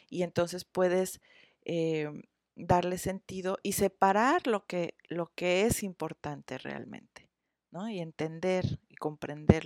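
The recording is very clean, with a silent background. A woman speaks at a very slow pace in a fairly low pitch. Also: big swings in loudness, dry, close sound with no echo. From Mexico, Cuernavaca. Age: 40s. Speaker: psychotherapist. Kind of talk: interview. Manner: halting, many fillers and repetitions.

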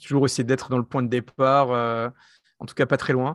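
Recorded dry and close with no echo, a man speaks at a medium pitch against a quiet background. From France. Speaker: tech entrepreneur and investor. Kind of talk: interview. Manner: halting.

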